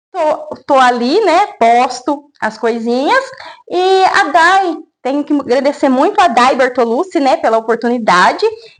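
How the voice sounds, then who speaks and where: The speaker is a woman with a high pitch. She uses lively intonation. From Brazil, São Paulo state interior. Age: 30s. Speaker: small business owner selling plants. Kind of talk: interview. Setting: at her home.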